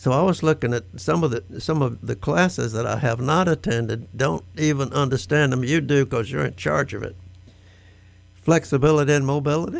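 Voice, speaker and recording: A man talks at a fairly quick pace with medium pitch and lively intonation, music playing in the background. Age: 80s+. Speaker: nonprofit board member. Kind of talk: radio interview.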